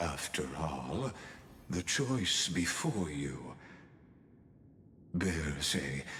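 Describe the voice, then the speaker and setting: Over clear background noise, a man puts on a character voice and talks at a very slow pace. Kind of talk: formal literary speech. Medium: video game. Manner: measured, elegant, lecturing.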